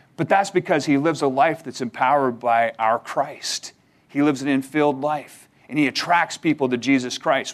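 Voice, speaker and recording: With a fairly high pitch, the man delivers his words in an ordinary speaking voice at moderate speed, his intonation fairly even. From Canada. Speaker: seminary admissions staff and minister. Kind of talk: chapel sermon. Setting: chapel service with audience.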